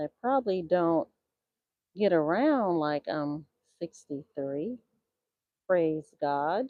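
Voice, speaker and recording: Speaking at a very slow pace with long, frequent pauses, the woman has a fairly low pitch. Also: lively intonation. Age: 60s. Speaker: beekeeper. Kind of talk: live hive inspection stream. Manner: casual, thinking aloud.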